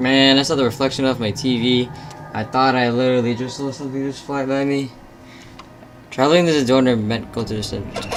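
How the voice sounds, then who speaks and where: A nervous-sounding voice at a moderate pace, with noticeable background noise. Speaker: gaming video creator. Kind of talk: let's play commentary. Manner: halting, nervous filler words.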